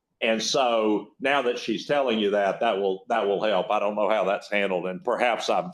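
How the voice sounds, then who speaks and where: A man with a northern Louisiana accent, fairly low in pitch with ordinary pitch variation, over a quiet background. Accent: rural northern Louisiana. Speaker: state agency secretary, former judge. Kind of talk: keynote talk. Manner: halting, repeats words.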